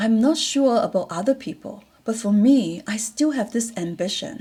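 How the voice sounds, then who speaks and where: A woman's fairly high, somewhat breathy voice with a dark, mellow tone, lively intonation and a moderate pace. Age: 60s. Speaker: vlogger and retiree sharing life reflections. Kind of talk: personal reflective monologue. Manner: hesitant with fillers.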